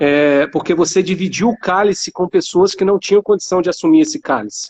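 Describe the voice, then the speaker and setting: A man with a Rio de Janeiro accent speaks fairly quickly at a high pitch with lively intonation. His loudness stays very even, and the sound is dry and close with no echo. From Rio de Janeiro, Brazil. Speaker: academic and startup founder. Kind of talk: panel discussion.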